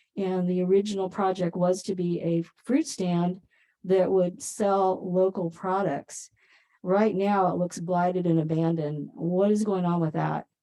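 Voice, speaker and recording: Soft-spoken and fairly slow, a woman talks with a dark, mellow tone and fairly even intonation. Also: medium pitch for a woman. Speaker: planning commissioner. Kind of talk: public meeting discussion. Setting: council chambers, hybrid meeting.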